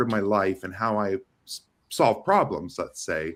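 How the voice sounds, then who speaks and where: Animated in tone, a man speaks with vocal fry. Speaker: AI and developer relations lead in networking. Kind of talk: casual chat. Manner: fast.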